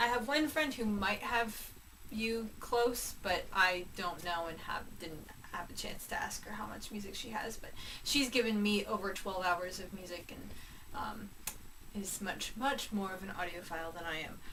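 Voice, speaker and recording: The voice moves at a moderate pace with ordinary pitch variation and big swings in loudness. Audible room echo and noticeable background noise surround it. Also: woman, medium pitch for a woman. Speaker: vlogger. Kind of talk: casual vlog monologue.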